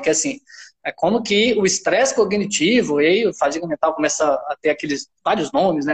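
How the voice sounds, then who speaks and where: A man speaks at a moderate pace in a high pitch. The sound is dry and close, with no echo. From Minas Gerais, Brazil. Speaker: university professor. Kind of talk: casual chat.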